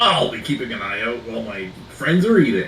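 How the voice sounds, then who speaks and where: A man puts on a strained, gravelly character voice at medium pitch and a moderate pace, with clear background noise. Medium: actual play.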